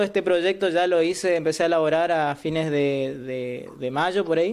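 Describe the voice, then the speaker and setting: Over a quiet background, a man talks at a moderate pace, his voice fairly high in pitch with ordinary pitch variation. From Argentina, Misiones (Ituzaingó); Misiones, Argentina. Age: 20s. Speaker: law student. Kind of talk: interview. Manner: halting. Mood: positive, earnest. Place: home room. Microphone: webcam.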